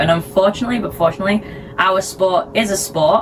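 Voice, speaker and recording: Noticeable background noise sits behind a woman speaking in a British accent. Her pitch is fairly low, her pace fairly quick, and her pitch variation ordinary. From Sheffield, England. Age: 20s. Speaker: figure skater. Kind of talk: interview answer.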